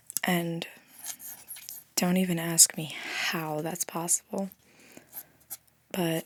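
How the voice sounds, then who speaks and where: Soft-spoken and fairly low in pitch, a woman talks with a dry, close sound and no echo. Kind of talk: ASMR soft-spoken rambling. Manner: casual, rambling.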